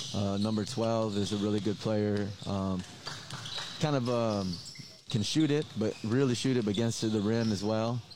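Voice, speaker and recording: Pausing long and often at an otherwise moderate pace, a man with a fairly low pitch and fairly even intonation speaks over noticeable background noise. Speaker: basketball head coach. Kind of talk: interview. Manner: halting, filler-heavy, casual.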